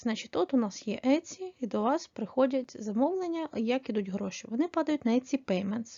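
A woman talks at a high pitch, her intonation lively. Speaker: online selling tutorial creator. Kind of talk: tutorial.

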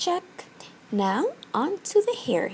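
A woman speaks at a very slow pace over light background noise. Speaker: beauty vlogger. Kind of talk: tutorial. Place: home room. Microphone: phone near.

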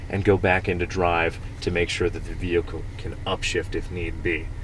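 A man at a moderate pace, fairly even intonation, dry sound with no echo and light background noise. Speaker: off-road driving instructor. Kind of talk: instruction. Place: car. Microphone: phone near.

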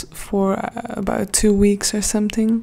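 A woman speaks softly at a very slow pace. Her intonation is monotone and flat. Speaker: ASMR creator. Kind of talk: soft-spoken ASMR Q&A. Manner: soft-spoken.

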